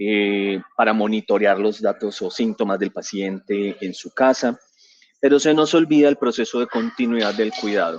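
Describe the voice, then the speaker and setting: A man's fairly low voice at a moderate pace, with ordinary pitch variation and a dry, close sound with no echo. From Colombia, San Andrés island, raised in Medellín. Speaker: physician and digital transformation director, conference speaker. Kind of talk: conference presentation. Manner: hesitant, with fillers and repetitions.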